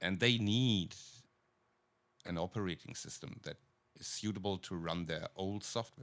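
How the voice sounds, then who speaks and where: Moderate-paced speech with a German accent, ordinary pitch variation, and long, frequent pauses. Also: man, very deep, low pitch for a man. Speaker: podcast co-host, video producer. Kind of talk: casual chat. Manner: halting, many fillers.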